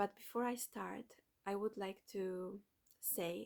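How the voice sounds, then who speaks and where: A woman with a Polish accent, very slow pace, ordinary pitch variation. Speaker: doula and motherhood content creator. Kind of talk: reading aloud a written manifesto. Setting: at home at night. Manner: soft-spoken, children sleeping nearby; halting.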